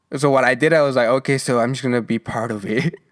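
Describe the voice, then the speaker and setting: A man speaks at a medium pitch with a Mexican accent and ordinary pitch variation. The recording is very clean, with a silent background. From Mexico. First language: Spanish. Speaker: podcast host. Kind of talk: casual monologue. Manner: halting, many restarts and fillers.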